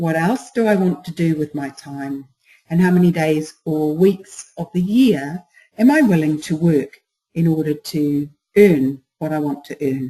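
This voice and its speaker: A woman speaks at a fairly slow pace with a very deep, low pitch and ordinary pitch variation. Her tone is dark and mellow, and somewhat breathy. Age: 60s. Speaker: business coach. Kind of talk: webinar presentation. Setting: online webinar.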